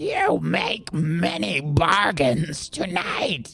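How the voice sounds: A raspy, put-on character voice of middle pitch at a very slow pace.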